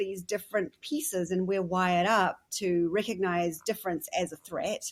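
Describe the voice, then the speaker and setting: A woman speaks with a New Zealand accent. Her pitch is medium. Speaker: podcast host. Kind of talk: interview conversation.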